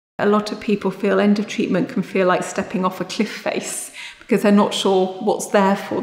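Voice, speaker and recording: A woman speaks at a fairly quick pace. Audible room echo surrounds her voice. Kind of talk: interview answer. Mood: warm, caring, steady. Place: office. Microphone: lapel.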